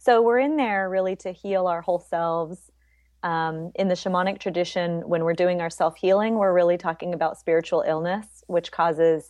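Pitched fairly low, a woman with an unremarkable speaking voice uses ordinary pitch variation. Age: 40s. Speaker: spiritual healer and workshop leader. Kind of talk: casual interview.

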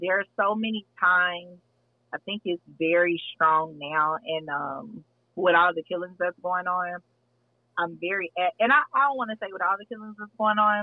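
With an American accent and ordinary pitch variation, this is a plain, everyday voice. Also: woman, medium pitch for a woman, moderate pace. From Texas. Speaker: podcast host. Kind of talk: casual chat.

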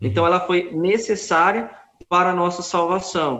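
A man's high-pitched voice at a fairly slow pace. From Brazil, Goiânia. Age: 30s. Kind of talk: interview on religious topics.

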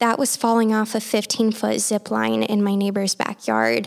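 A woman speaks at a moderate pace. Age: 20s. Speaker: podcast host. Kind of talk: solo podcast monologue. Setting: at home, family room floor.

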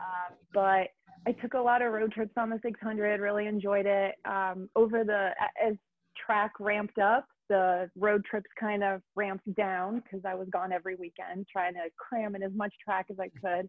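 Fairly even intonation runs through this ordinary speaking voice. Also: woman, medium pitch for a woman, moderate pace. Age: 30s. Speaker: motorcycle rider and brand ambassador. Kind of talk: casual chat. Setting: remote call.

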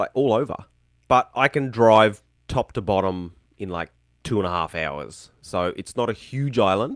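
A man with a strong Australian accent and a fairly low pitch speaks at a fairly slow pace with lively intonation, on a very clean recording with a silent background and a dry, close sound with no echo. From Tasmania, Australia. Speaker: YouTuber. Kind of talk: casual chat.

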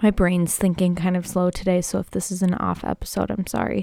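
A woman speaks at a medium pitch with fairly even intonation in a plain, everyday voice. The recording is very clean, with a silent background. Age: 20s. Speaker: podcast host and health coach. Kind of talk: casual monologue; guided breathing. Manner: slow.

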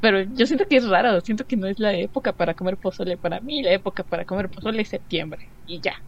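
A woman speaks at a very fast pace with hardly any pauses. Her pitch is medium, with ordinary pitch variation. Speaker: podcast co-host. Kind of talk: casual chat.

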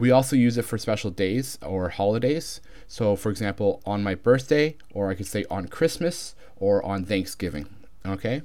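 Lively intonation marks this man's fairly low, dark and mellow voice, with a Canadian accent. The recording is very clean, the background silent. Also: moderate pace. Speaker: English teacher. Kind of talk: tutorial.

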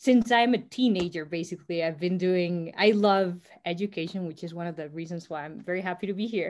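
Here a woman with a Spanish accent talks at a moderate pace and a medium pitch. Her pitch varies in an ordinary way, and the recording is very clean with a silent background. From Costa Rica. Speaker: startup co-founder. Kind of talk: interview.

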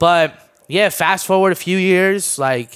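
The speaker has a Mid-Atlantic accent and ordinary pitch variation. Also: man. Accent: American, Mid-Atlantic. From Maryland, DC area (born in Armenia). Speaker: YouTuber. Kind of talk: casual chat.

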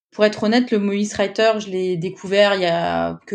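A woman's medium-pitched voice, an ordinary speaking voice, with fairly even intonation and a quiet background. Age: 30s. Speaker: UX writer. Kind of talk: interview testimony.

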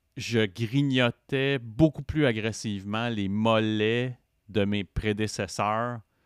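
A man with a fairly low pitch at a very slow pace, dry and close with no echo, on a very clean recording with a silent background. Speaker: podcaster in addiction recovery. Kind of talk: casual interview chat.

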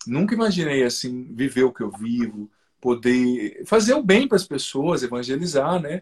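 A man with a normal speaking voice talks at a fairly high pitch with lively intonation. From southern Brazil, Paraná. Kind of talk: testimony in a live interview. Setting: video live stream.

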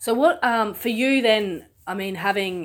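Ordinary pitch variation in a woman's voice, with an Australian accent. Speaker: podcast host. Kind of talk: casual interview.

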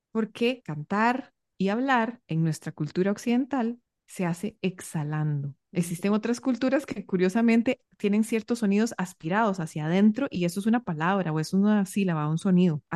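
With an ordinary speaking voice, a woman speaks at a moderate pace and medium pitch, her intonation lively. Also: quiet background. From Costa Rica. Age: 30s. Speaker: singing teacher and breathing coach. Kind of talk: interview.

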